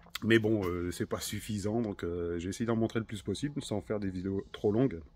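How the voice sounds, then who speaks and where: Fairly even intonation from a man speaking at a fairly quick pace. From northern France, Hauts-de-France (Nord). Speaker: car restorer, video maker. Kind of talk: casual workshop vlog. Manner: casual, many hesitations.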